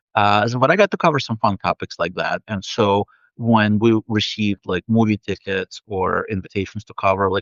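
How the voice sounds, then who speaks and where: A man's fairly low voice in a Russian accent, with fairly even intonation. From Soviet Union, then New York. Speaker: author and game narrative director. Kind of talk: interview. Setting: live video stream.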